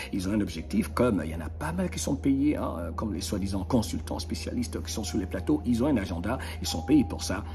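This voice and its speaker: In an animated tone, a man with a very deep, low pitch talks at a moderate pace, with audible room echo and noticeable background noise. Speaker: motivational video host. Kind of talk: motivational monologue.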